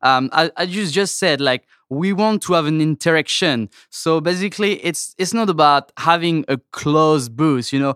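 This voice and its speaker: A man with a French accent speaks at a moderate pace and a fairly high pitch, with ordinary pitch variation. The recording is very clean, with a silent background and a dry, close sound with no echo. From France. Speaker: toy company sales representative. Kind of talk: casual interview. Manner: hesitant, many fillers.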